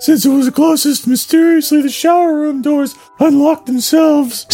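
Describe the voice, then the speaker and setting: With faint music in the background, a man puts on a character voice at an extremely high pitch. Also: moderate pace. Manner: spooky, playful reading.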